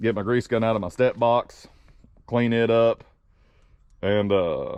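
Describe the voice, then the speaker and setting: A man speaks in a Southern accent at a medium pitch, with fairly even intonation. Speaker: truck driver vlogger. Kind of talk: casual vlog talk.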